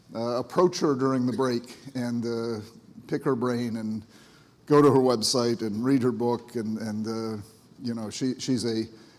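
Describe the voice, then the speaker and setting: A man's medium-pitched voice moves at a fairly slow rate. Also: fairly even intonation. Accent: American. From US Northeast, Cape Cod, Massachusetts. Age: 60s. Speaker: psychiatrist and ADHD speaker. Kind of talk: conference talk. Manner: halting, many fillers and repeats.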